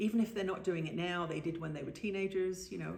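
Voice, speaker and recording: Vocal fry marks a woman's voice, heard with audible room echo. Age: 60s. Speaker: spiritual author and trance channel. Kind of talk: interview. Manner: halting.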